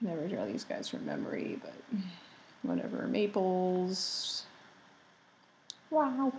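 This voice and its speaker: Soft-spoken, a woman talks at a very slow pace with long, frequent pauses, amid noticeable background noise and audible room echo. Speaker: artist making drawing tutorials. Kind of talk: tutorial. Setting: home, roommates asleep. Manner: soft-spoken, speaking quietly.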